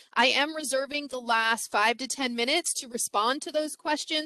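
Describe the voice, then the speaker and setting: A woman's bright, sharp tone with ordinary pitch variation, in a dry, close sound with no echo. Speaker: former teacher, parenting workshop presenter. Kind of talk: webinar presentation. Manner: fast.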